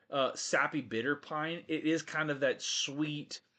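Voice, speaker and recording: A man with a fairly high pitch against a quiet background. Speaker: whiskey show host. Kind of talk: live stream casual chat. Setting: studio. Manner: fast.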